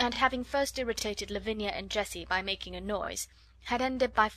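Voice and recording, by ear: The clip has a speaker reading aloud in a natural voice.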